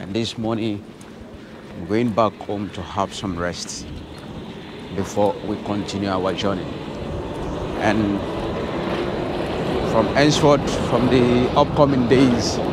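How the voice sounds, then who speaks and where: Over loud background noise, a man speaks at a very slow pace with long, frequent pauses. His pitch varies in an ordinary way, and the sound is dry with no echo. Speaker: travel vlogger. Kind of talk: casual vlog chat. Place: street. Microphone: phone near.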